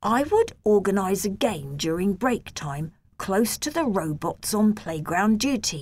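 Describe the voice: Plain, read-aloud delivery with lively intonation.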